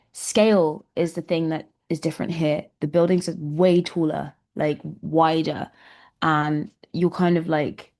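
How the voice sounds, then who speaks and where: In a London accent, a woman speaks at a moderate pace with fairly even intonation. Her pitch is fairly low, and the background is quiet. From London, England. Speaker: musician. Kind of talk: interview.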